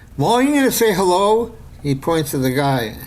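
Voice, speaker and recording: Amid noticeable background noise and audible room echo, a man speaks with an American accent. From New York City. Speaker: screenwriter and filmmaker. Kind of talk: casual interview storytelling. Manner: halting with many repetitions and fillers.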